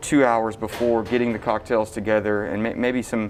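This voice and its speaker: A man speaks with an East Texas accent. His pitch is medium and his pace moderate. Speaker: bartender. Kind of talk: casual interview. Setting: restaurant bar. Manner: halting, many fillers.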